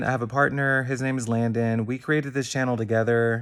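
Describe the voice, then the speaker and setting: He has an American accent. The voice belongs to a man. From Houston, Texas. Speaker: vlogger, dentist. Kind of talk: casual vlog monologue.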